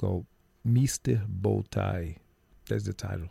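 A man speaks fairly slowly with a Portuguese accent, his tone dark, mellow and somewhat breathy. His pitch varies in an ordinary way, and the sound is dry and close with no echo. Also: very clean recording, silent background. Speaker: musician. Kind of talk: radio interview.

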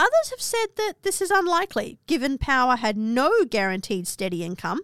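A woman in an Australian accent speaks at a fairly quick pace in a very clean recording with a silent background. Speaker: podcast host and history presenter. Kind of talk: history documentary narration, scripted storytelling. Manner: measured, dramatic, storytelling tone with dry asides.

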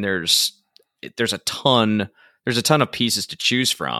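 A man's medium-pitched voice has a bright, sharp tone and vocal fry, with a dry, close sound, no echo and a very clean recording with a silent background. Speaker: podcast host and songwriter. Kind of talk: casual interview; scripted outro.

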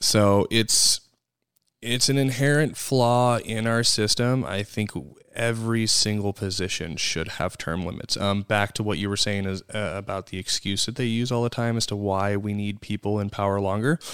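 With an American accent, a man speaks in a plain, everyday voice at a fairly low pitch, with ordinary pitch variation and a moderate pace, on a very clean recording with a silent background. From US Midwest. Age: 30s. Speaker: podcast co-host. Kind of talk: casual chat. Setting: studio.

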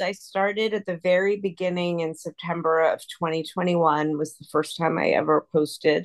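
A woman has an ordinary speaking voice, fairly low in pitch with ordinary pitch variation. She talks at a fairly slow pace in a dry, close sound with no echo. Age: 50s. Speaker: lawyer and tutoring business founder. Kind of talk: interview.

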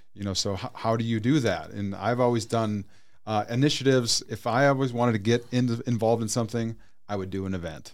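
A man rattles along very fast, his voice at a medium pitch and his intonation fairly even. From North Dakota. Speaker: nonprofit director and event organizer. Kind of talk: casual interview. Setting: studio.

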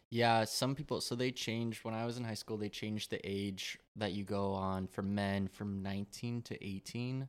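A man with a plain, everyday voice speaks at a fairly low pitch and a moderate pace, with fairly even intonation, hardly any pauses and a very clean recording with a silent background. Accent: American. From Colorado, suburban. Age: 20s. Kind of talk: casual chat.

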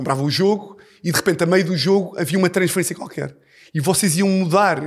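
An animated tone with ordinary pitch variation comes through in a European Portuguese accent on a very clean recording with a silent background. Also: man. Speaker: comedian. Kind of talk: casual chat.

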